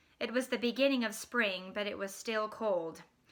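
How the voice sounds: What you hear is a natural reading voice.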